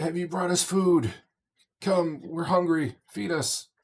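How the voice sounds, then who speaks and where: Using a put-on character voice, a man speaks at a fairly slow pace in a high-pitched, croaky, raspy tone. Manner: desperate, demanding.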